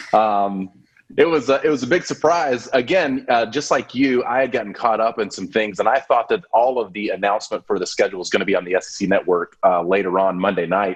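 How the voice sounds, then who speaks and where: With an American accent, this is an unremarkable speaking voice at a fairly quick pace with ordinary pitch variation. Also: man. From US South, Montgomery, Alabama. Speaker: podcast co-host. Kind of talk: casual chat.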